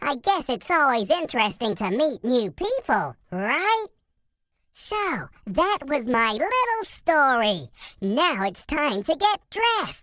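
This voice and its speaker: The voice is a cartoonish character voice with a high pitch. Its pitch swings very widely. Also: female-sounding voice, fairly slow pace. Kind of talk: casual talk to camera. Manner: upbeat.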